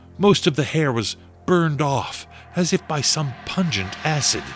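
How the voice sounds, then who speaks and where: A man with fairly high pitch and a solemn tone, at a fairly slow pace, over music in the background. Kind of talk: dramatic radio narration, scripted and ominous. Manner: solemn, measured, melodramatic narrator.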